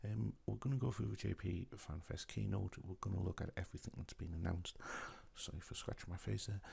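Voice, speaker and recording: A soft-spoken man's very deep, low voice with a dark, mellow tone, vocal fry and lively intonation. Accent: British. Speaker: gaming YouTuber. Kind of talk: casual video commentary. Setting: at home at night. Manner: quiet.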